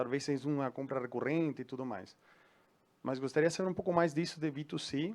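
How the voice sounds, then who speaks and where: The speaker uses ordinary pitch variation with a Uruguayan accent. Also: man. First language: Spanish (speaking Portuguese). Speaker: audience member asking a question. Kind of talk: audience Q&A question. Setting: event hall with audience. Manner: halting.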